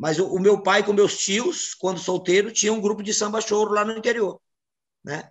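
Against a quiet background, a man talks at a fairly quick pace. His voice is high for a man, with fairly even intonation. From Brazilian Northeast. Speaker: samba composer and singer; interviewee. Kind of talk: interview. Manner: halting, many repetitions. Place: home room. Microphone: video call.

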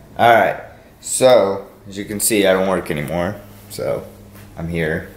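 Audible room echo surrounds a man speaking fairly slowly in a fairly low pitch. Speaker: vlogger. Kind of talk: casual vlog chat. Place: home room. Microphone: phone near.

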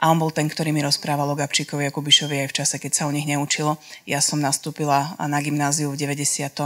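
Very fast, monotone, flat speech from a woman with a very deep, low pitch, against a quiet background. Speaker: documentary filmmaker and author; guest, reporter. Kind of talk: public talk. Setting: live audience event. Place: hall. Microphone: handheld.

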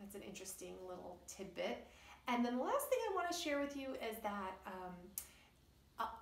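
The woman's voice carries audible room echo. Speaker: children's storyteller. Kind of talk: educational talk to kids. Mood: warm, cheerful. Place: home room. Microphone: phone near.

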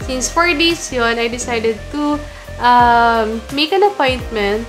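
A woman talks at a fairly slow pace and high pitch while faint music plays in the background. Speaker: lifestyle vlogger. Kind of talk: casual vlog chat. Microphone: phone near.

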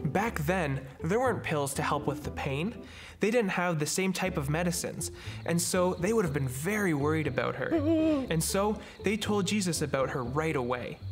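Over clear background music, a man talks at a moderate pace. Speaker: storyteller host. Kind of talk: children's story reading. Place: studio.

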